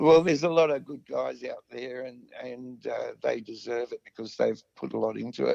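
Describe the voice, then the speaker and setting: A man with an Australian accent at a moderate pace, hardly any pauses and big swings in loudness. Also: dry, close sound with no echo. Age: 60s. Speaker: musician, vocalist and guitarist. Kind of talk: casual interview chat. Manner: hesitant, many fillers.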